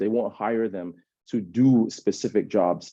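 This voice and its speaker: A man talks in a fairly low pitch with ordinary pitch variation. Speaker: panelist with lived experience of prison. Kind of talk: webinar panel talk. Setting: online webinar. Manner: fast.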